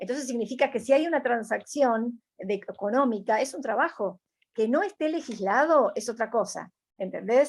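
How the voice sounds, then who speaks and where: With an Argentine accent, a woman speaks at a high pitch with ordinary pitch variation and a moderate pace, in a very clean recording with a silent background. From Argentina. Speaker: environmentalist. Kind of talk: interview answer.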